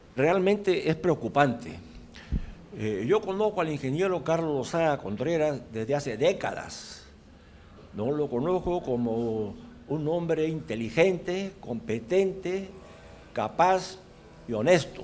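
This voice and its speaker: A man talks at a very slow pace with long, frequent pauses, a fairly high pitch and lively intonation. There is audible room echo. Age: 80s+. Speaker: audience member asking questions. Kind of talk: Q&A comments after a lecture.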